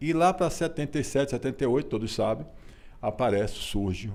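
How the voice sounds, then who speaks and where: This man has a dark, mellow tone and talks at a moderate pace. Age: 60s. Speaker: author. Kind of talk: interview. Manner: halting.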